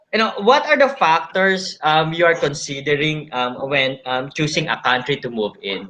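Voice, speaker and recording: A man with a Filipino accent talks at a moderate pace with hardly any pauses. His voice is fairly high, with lively intonation. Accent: Filipino English, Taglish code-switching. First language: Tagalog. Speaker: live session host interviewing architects. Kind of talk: live online interview. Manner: halting, many fillers and restarts.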